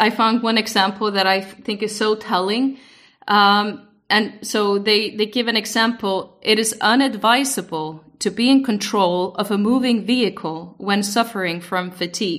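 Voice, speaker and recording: This woman has an Icelandic accent and a bright, sharp tone, with medium pitch and ordinary pitch variation. She speaks at a moderate pace on a very clean recording with a silent background. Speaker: podcast co-host, former EU institution expert. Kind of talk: casual podcast discussion.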